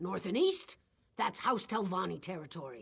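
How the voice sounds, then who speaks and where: This is a put-on character voice. It sounds raspy. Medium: video game. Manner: talkative, casual.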